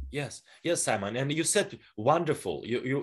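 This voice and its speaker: A man with a Russian accent speaks at a moderate pace and a fairly high pitch. His intonation is lively, and the background is quiet. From northwestern Russia. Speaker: personal development coach and speaker. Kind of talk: interview. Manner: halting.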